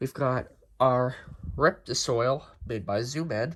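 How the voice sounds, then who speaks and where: A man's somewhat breathy voice at a medium pitch, with ordinary pitch variation. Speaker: tarantula keeper. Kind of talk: casual talk to camera.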